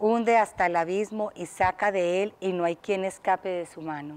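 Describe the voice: A woman reads at a fairly slow pace in a clear, smooth, slightly mellow tone with ordinary pitch variation.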